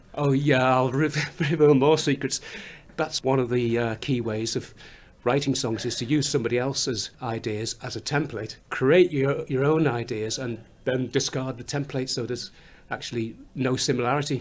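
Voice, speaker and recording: Medium-pitched male voice with a slight Scouse accent, a moderate pace, and fairly even intonation. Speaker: musician, songwriter. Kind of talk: interview. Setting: recording studio. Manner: halting, repeats words.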